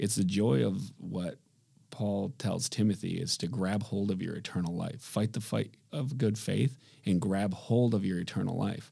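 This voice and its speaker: On a very clean recording with a silent background, a man with an Upper Midwest accent speaks at a moderate pace in a fairly low pitch, with a dark, mellow tone, vocal fry, and ordinary pitch variation. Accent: Upper Midwest American. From Michigan, Grand Rapids. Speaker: businessman. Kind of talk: casual interview.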